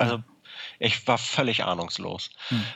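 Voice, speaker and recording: This man's voice sits at medium pitch. His pitch variation is ordinary. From Hamburg, northern Germany. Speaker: guitar maker. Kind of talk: interview. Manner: halting, many filler words.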